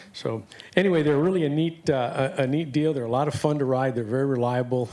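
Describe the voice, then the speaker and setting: Noticeable background noise runs through the clip. Over it, a man speaks at a very fast pace. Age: 60s. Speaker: applicant vendor, electric bicycle seller. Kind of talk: pitch at public board meeting. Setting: city board meeting room. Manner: hesitant, many fillers; casual, enthusiastic.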